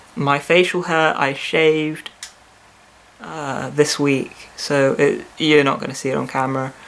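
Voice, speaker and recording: A man speaks at a fairly slow pace and fairly high pitch with fairly even intonation. Noticeable background noise runs underneath. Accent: British. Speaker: vlogger. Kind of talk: video diary. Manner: hesitant, with fillers and repeats.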